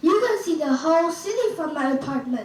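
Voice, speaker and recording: In a put-on character voice, a woman talks fairly quickly at an extremely high pitch with very wide pitch swings and a slight echo. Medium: stage play.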